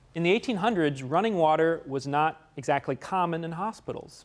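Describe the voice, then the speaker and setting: A man talks in an American accent at a fairly high pitch. His pitch varies in an ordinary way. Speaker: guest lecturer on security. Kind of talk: lecture. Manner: fast.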